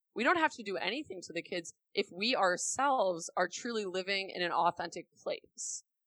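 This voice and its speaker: A woman with an American accent talks at a moderate pace, her pitch swinging very widely in a bright, sharp tone. The recording is very clean with a silent background, dry and close with no echo. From US Midwest, Milwaukee, Wisconsin. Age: 20s. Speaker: digital marketing expert and influencer. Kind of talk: interview conversation.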